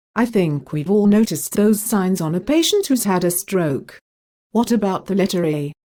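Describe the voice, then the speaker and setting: A woman with a British accent, medium pitch and a dark, mellow tone at a fairly slow pace, on a very clean recording with a silent background. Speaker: interviewer. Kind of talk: scripted educational interview questions.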